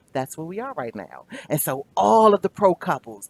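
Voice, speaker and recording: A woman talks in an animated tone with very wide pitch swings. Her voice sounds dry and close, with no echo. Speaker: life coach. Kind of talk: motivational monologue.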